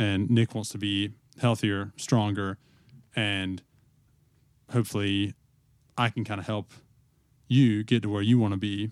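At a fairly low pitch, a man speaks in a monotone with flat intonation and long, frequent pauses. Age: 20s. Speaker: podcast co-host, flooring installer. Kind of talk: casual chat. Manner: halting, many fillers.

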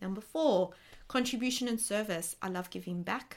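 A woman with an Australian accent, animated in tone, at a fairly quick pace with ordinary pitch variation. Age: 20s. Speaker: podcast host and life coach. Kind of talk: personal monologue podcast.

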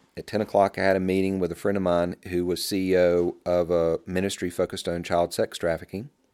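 On a very clean recording with a silent background, a man with a Southern US accent talks at a fairly quick pace in a very deep, low pitch with fairly even intonation. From US South. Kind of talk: testimony.

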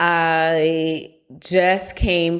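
Recorded very cleanly against a silent background, a woman talks at a fairly low pitch. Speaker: speech language pathologist and neuroscientist, co-host. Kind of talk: casual chat, podcast conversation.

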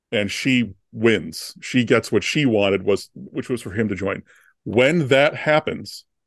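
A man with an ordinary speaking voice, medium pitch, and ordinary pitch variation, at a fairly slow pace, in a dry, close sound with no echo. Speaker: screenwriter and screenwriting professor, podcast co-host. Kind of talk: casual chat.

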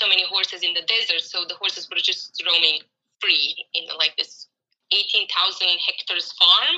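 Here a woman speaks with a Croatian accent. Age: 30s. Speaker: horse trainer. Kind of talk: interview. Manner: hesitant, many fillers.

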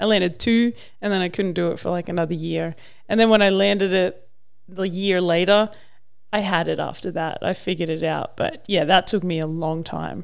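With an Australian accent, a woman speaks at a fairly quick pace. Her voice is fairly low, and her intonation stays fairly even. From Australia, Mildura (rural Victoria). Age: 30s. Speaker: professional wakeboarder. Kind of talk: casual chat.

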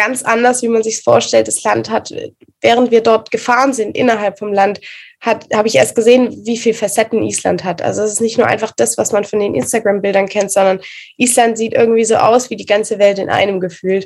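A woman with a fairly high pitch and vocal fry talks at a fairly quick pace with fairly even intonation. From Swabia, southern Germany (Reutlingen). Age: 20s. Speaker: photographer and pole dancer. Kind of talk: casual interview.

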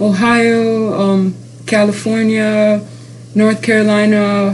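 A woman speaks very slowly in a monotone, flat intonation, with audible room echo. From Dubai. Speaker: university student. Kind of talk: interview. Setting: university campus. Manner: halting.

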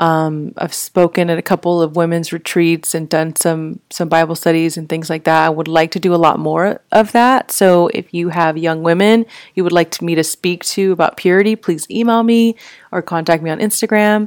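Recorded very cleanly against a silent background with a dry, close sound and no echo, a woman with an American accent uses an ordinary speaking voice, fairly low pitch, ordinary pitch variation and a moderate pace. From Texas, Fort Worth. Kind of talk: casual faith talk monologue. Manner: conversational with frequent fillers.

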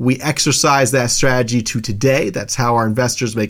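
A plain, everyday voice moves along at a fairly quick pace. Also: man. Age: 30s. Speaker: podcast host, real estate investor. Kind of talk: casual monologue.

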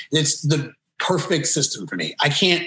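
Pitch varies in an ordinary way. It is a plain, everyday voice. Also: man. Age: 30s. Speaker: lead vocalist and rhythm guitarist of a pop punk band. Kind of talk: casual interview.

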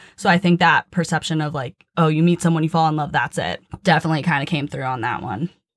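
A woman with a very deep, low pitch talks at a very fast pace with hardly any pauses, the sound dry and close with no echo. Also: ordinary pitch variation. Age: 20s. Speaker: athletic trainer. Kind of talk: casual chat.

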